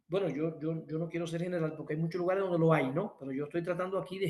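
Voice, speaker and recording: The man's voice sits at a high pitch. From Cuba. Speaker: workshop instructor. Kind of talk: lecture. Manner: animated.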